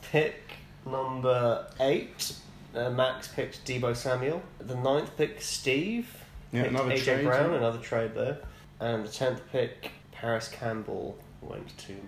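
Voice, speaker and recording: A man with a British accent, medium pitch, fairly even intonation and a very slow pace, over noticeable background noise. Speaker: podcast co-host.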